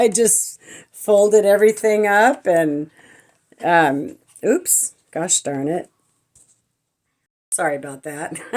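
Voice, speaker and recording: A woman's medium-pitched voice, with lively intonation, a very slow pace, long, frequent pauses and big swings in loudness. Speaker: lifestyle vlogger. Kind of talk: casual vlog talk. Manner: hesitant, many fillers.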